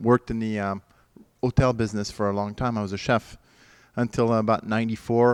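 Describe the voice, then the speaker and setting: With a French accent, a man speaks at a fairly low pitch. His intonation is monotone and flat, over a quiet background. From France. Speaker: winery owner. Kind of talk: interview. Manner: halting.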